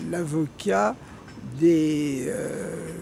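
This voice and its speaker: A man with a fairly high pitch talks while noticeable background noise is heard. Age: 90s. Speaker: former resistance member and activist. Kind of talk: interview. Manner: halting.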